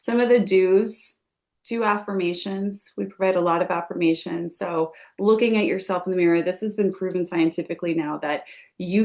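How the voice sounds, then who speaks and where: A woman speaks at a moderate pace with a fairly low pitch and ordinary pitch variation. It is an unremarkable speaking voice. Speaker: skincare company executive hosting a webinar. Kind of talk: live webinar presentation.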